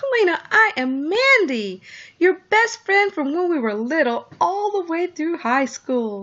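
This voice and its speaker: In a put-on, squeaky character voice, a woman speaks fairly slowly at an extremely high pitch, raised and projected, with a warm tone and very wide pitch swings. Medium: read story. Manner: warm, effusive.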